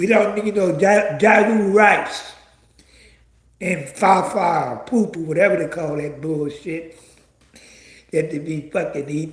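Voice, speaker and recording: Animated in tone, a man with a high voice speaks with long, frequent pauses. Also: ordinary pitch variation, fairly slow pace. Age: 70s. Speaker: online commentator. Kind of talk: livestream commentary rant.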